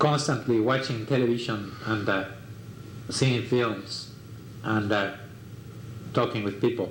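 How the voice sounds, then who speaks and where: A man with a Mexican accent speaks at a fairly slow pace with fairly even intonation. Audible room echo and noticeable background noise fill the recording. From Mexico. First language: Spanish. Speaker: artist. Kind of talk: life story interview. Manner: halting, many fillers.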